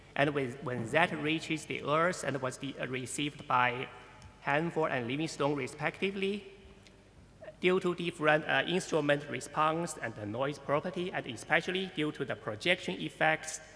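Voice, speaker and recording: Music plays in the background. The speaker keeps a moderate pace with ordinary pitch variation. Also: man. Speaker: conference speaker. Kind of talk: lecture. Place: hall.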